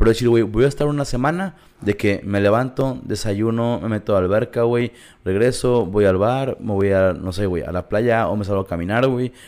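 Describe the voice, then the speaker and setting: A man with an unremarkable speaking voice talks at a moderate pace and medium pitch, his pitch variation ordinary. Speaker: podcast co-host. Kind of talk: casual chat.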